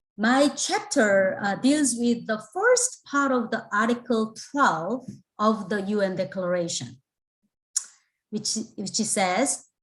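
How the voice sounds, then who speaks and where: A somewhat breathy woman with a Korean accent, very slow pace and ordinary pitch variation. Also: fairly high pitch for a woman. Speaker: theology professor, book contributor. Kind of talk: panel talk. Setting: video call.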